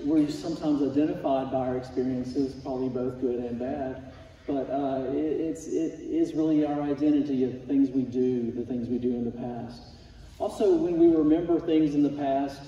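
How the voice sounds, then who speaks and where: Against audible room echo, a man talks at a moderate pace with fairly even intonation. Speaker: Sunday school teacher. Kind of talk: sermon. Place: church. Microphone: camera far.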